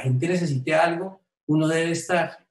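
With audible room echo, a man speaks at a fairly slow pace and with fairly even intonation. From Colombia, Tolima; Colombia. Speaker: businessman, COVID survivor; interviewee. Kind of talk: testimony. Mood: grateful, emotional recollection. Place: home room. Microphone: webcam.

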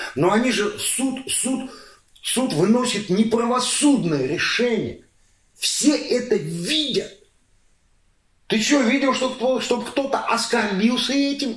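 A man talks in an extremely high voice at a very slow pace with long, frequent pauses. Audible room echo surrounds him. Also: ordinary pitch variation. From Astrakhan, Russia; Russia. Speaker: entrepreneur; interviewee. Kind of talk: interview answer; interview answer, animated conversation. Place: home room. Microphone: camera far.

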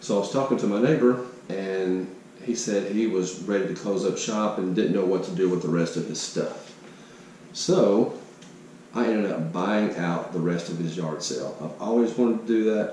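Over light background noise and audible room echo, a man with a fairly low pitch talks at a moderate pace with ordinary pitch variation. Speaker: yard sale reseller. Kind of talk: casual vlog chat. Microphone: phone near.

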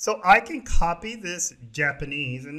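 Captured on a very clean recording with a silent background, a man speaks in a normal speaking voice with lively intonation. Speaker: programming tutorial presenter. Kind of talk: tutorial. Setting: screen recording voiceover.

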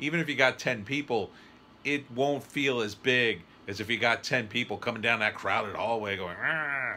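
Over light background noise, a man with a bright, sharp tone talks at a moderate pace with ordinary pitch variation. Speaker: writer reviewing a trailer. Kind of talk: casual reaction commentary. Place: home room. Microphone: phone near.

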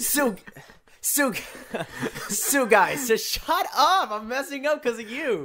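Playful, very slow delivery with long, frequent pauses over noticeable background noise. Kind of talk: casting call announcement read, bloopers. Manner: laughing, playful.

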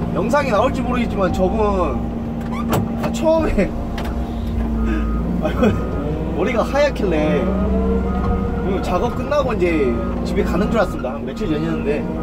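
Over loud background noise, a man speaks at a moderate pace, pausing long and often. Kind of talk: casual vlog chat. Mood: grumbling, joking. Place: farm machine. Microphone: phone near.

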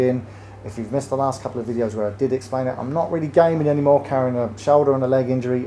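Light background noise sits behind the speaker. A man speaks with fairly even intonation. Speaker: channel host. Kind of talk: casual vlog intro to camera. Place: shop.

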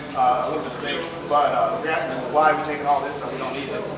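A man's very fast speech amid loud background noise and audible room echo. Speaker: mine geologist guide. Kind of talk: explanatory tour talk. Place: tunnel cave. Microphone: camera far.

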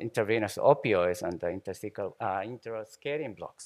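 The background is quiet. A man talks with a Japanese accent. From Japan, Shimane. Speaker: anesthesiologist, professor. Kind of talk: conference lecture. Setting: conference hall with audience. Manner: halting, many fillers and repetitions. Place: hall.

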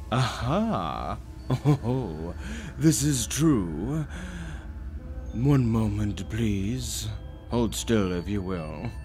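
In a put-on character voice, a man speaks at a fairly low pitch and very slow pace with long, frequent pauses, over clear background noise. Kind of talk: horror ASMR story narration. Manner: pompous, smug, mocking.

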